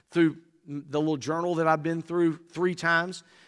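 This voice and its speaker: A man with an Alabama accent talks at a moderate pace and fairly high pitch. His tone is bright and sharp, in a very clean recording with a silent background. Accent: US Southern (Alabama). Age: 60s. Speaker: Baptist convention executive and preacher. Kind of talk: sermon. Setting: church.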